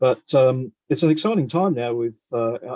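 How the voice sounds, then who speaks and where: The tone is dark and mellow, with an Australian accent, a moderate pace, and a dry, close sound with no echo. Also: man. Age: 60s. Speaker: retired physicist and amateur radio astronomer. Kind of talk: video call conference talk. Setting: video call. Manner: halting, many fillers.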